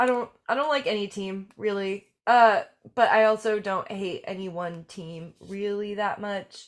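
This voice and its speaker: A woman with an unremarkable speaking voice talks at a medium pitch and a fairly slow pace, with ordinary pitch variation and big swings in loudness. The recording is very clean, with a silent background. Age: 20s. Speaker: podcast host and musician. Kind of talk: casual chat; show outro.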